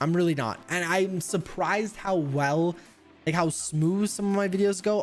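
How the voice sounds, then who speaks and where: Over music in the background, a man speaks at a high pitch with very even loudness. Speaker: gaming streamer. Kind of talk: live stream chat. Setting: home live stream with webcam. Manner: hesitant, many uhs; fast.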